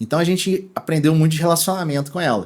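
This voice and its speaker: A man with a Minas Gerais accent, on a very clean recording with a silent background. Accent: mineiro. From Brazil, Minas Gerais (Belo Horizonte). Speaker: e-commerce executive. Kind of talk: interview podcast. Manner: casual, many fillers and restarts.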